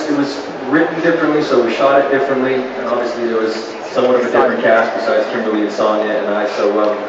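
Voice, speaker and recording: A man speaks at a very fast pace with ordinary pitch variation. Loud background noise and audible room echo fill the recording. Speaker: actor on panel. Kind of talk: interview answer. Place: stage.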